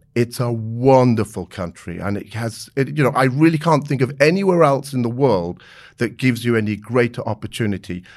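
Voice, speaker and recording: A man with a southern English accent talks at a fairly quick pace and medium pitch, his intonation lively. The recording is very clean, with a silent background. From England, Maidenhead (Berkshire). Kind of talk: interview.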